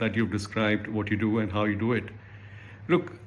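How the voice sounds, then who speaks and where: Speaking fairly quickly, a man with an Indian accent uses a medium pitch. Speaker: accountant and career advice vlogger. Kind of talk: reading viewer mail and commenting.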